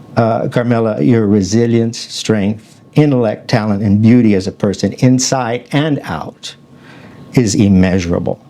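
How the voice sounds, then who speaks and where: Over noticeable background noise, a man speaks at a fairly slow pace with an American accent. His pitch is medium, with ordinary pitch variation. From Arizona. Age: 60s. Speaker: talk show host. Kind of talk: reading aloud. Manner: halting.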